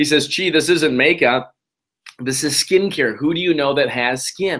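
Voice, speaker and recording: An animated man speaks in a bright, sharp tone. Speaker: network marketing presenter. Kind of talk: webinar presentation. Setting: online webinar. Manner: fast; animated, many repeated words.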